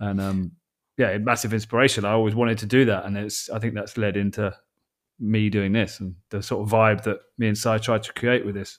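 At a fairly quick pace, a man speaks in a fairly low, monotone voice with flat intonation. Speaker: podcast co-host.

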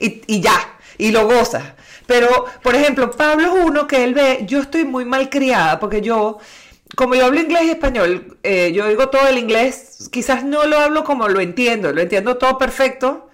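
High-pitched, with lively intonation, a woman talks at a moderate pace. Her loudness stays very even. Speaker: trained broadcaster. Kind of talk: casual chat.

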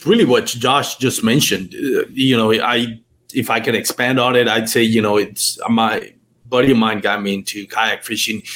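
Speaking with a Spanish accent, a man keeps a moderate pace. His medium pitch shows ordinary variation. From Puerto Rico. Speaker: kayak fishing podcaster. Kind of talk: casual chat. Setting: video call.

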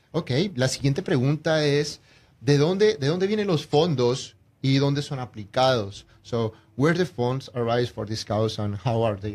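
A man with a medium pitch speaks at a fairly slow pace, his somewhat breathy voice carrying lively intonation. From Colombia. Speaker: real estate agent and radio co-host. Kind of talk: radio interview.

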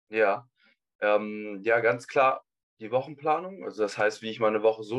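A man's unremarkable speaking voice, fairly low in pitch, at a moderate pace with fairly even intonation. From Hamburg, northern Germany. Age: 20s. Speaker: university student. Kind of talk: interview. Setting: video call.

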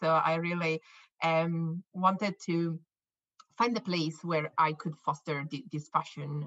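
A woman with an Italian accent speaks in a fairly low pitch with a bright, sharp tone, the sound dry and close with no echo. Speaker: scientist and company co-founder. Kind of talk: interview. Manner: halting, with repetitions.

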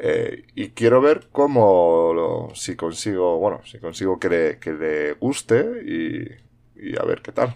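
A man talks at a very slow pace. His loudness shifts in big swings. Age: 40s. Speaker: podcast host. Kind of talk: solo monologue podcast. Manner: halting, many fillers and repetitions.

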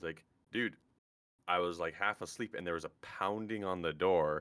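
Speaking at a moderate pace, a man has a very deep, low pitch with ordinary pitch variation. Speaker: podcast guest. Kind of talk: casual chat.

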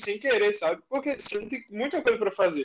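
A man talks at a very fast pace. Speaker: audience member asking a question. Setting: live video call.

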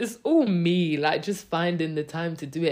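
Speaking at a fairly slow pace, a woman uses a normal speaking voice with a fairly low pitch. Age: 20s. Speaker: solo podcaster. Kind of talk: casual monologue. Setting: recording in a different space than usual.

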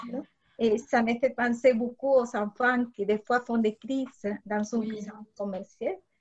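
At a fairly slow pace, a woman talks in a fairly high voice with fairly even intonation. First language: Spanish (speaking French). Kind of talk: interview.

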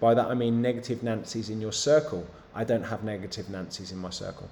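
In an English accent, a man speaks at a moderate pace with a dark, mellow tone. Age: 30s. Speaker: fitness coach. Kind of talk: live Q&A stream. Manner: animated.

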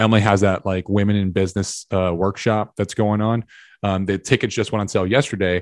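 Against a quiet background, a man talks at a fairly quick pace in a monotone, flat intonation with a fairly low pitch. The sound is dry and close, with no echo. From Tennessee. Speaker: army veteran and business owner. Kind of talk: casual interview. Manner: halting.

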